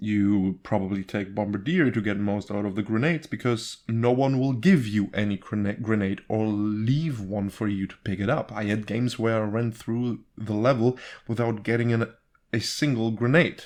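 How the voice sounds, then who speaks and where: A man with a non-native accent, fairly low in pitch, at a moderate pace with ordinary pitch variation. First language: not English. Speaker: gaming YouTuber. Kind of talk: gameplay rant. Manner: animated; halting.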